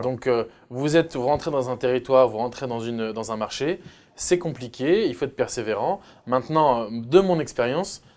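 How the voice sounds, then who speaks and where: Ordinary pitch variation at a moderate pace. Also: man. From France. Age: 30s. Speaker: entrepreneur; guest. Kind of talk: interview. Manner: hesitant, many filler sounds. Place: studio. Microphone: lapel.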